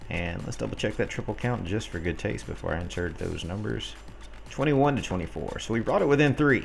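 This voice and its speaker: With audible room echo, a man talks at a fairly quick pace in a very deep, low pitch with very wide pitch swings. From US South, North Alabama near Gadsden. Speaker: gaming streamer and clan leader. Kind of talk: live game commentary and chat.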